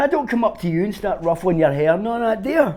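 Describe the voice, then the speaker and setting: Speaking at a fairly quick pace in a Glaswegian accent, a man uses a high-pitched voice with a dark, mellow tone. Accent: Glaswegian Scottish. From Glasgow, Scotland. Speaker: street busker. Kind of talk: interview answer. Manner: casual, sweary.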